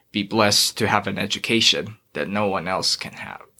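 A man's fairly low-pitched voice, bright and sharp in tone, at a moderate pace. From Philippines, raised in Dubai. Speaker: college student and aspiring author. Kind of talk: casual interview.

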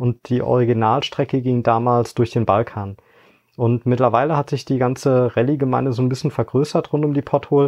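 Fairly quick and fairly even in intonation, a man uses a normal speaking voice at medium pitch with very even loudness. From Eifel, western Germany. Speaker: management consultant and rally co-driver. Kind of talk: interview.

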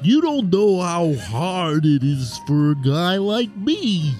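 Very slow speech with clear music in the background. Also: man, high pitch for a man.

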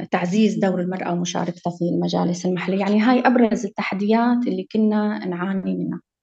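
Using a normal speaking voice, a woman talks at medium pitch and a fairly quick pace, with fairly even intonation and hardly any pauses. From Syria, Maarat al-Numan (Idlib). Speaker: lawyer. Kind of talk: interview.

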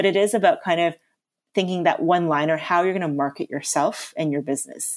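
With a slight Canadian accent, a woman speaks at a fairly quick pace in a fairly low pitch with ordinary pitch variation, on a very clean recording with a silent background. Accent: Canadian, slight, living in London. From Canada. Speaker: natural chef. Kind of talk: casual interview.

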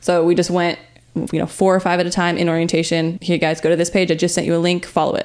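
Over music in the background, a woman with a fairly low voice talks very fast in a monotone, flat delivery at a very even loudness. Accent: American. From Riverside, California. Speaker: podcast co-host, business manager. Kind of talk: casual business chat.

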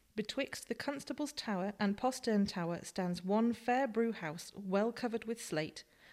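A woman with an ordinary speaking voice talks at a fairly slow pace with ordinary pitch variation. The recording is very clean, with a silent background. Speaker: co-presenter reading quotes and facts. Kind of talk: reading aloud historical quotes and figures.

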